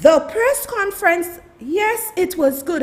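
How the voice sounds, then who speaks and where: A woman's voice over noticeable background noise. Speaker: political commentator. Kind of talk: livestream commentary. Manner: loud; animated.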